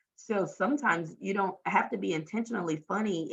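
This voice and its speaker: A woman speaks at a fairly quick pace with a Southern US accent. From US South, Louisiana. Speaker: talent development trainer and workshop facilitator. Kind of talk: podcast interview.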